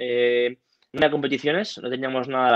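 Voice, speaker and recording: A man talks at a very fast pace with fairly even intonation. The sound is dry with no echo, and the background is quiet. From Cantabria, Spain (Santoña); Cantabria, Spain. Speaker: judo athlete; guest. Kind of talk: interview. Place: home room. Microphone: earbuds.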